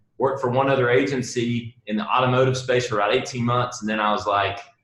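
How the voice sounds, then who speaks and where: Speaking in a strong Southern US accent, a man keeps a medium pitch and fairly even intonation. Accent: Southern US, heavier than most. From US South, South Carolina. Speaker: marketing agency founder. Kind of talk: interview. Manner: halting, repeats words.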